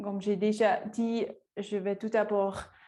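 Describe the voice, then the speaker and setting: A woman with a Swiss German accent speaks at a very slow pace and a medium pitch against a quiet background. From Switzerland, Lucerne. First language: Swiss German (speaking French). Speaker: forest researcher. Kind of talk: lecture. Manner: halting, many hesitations.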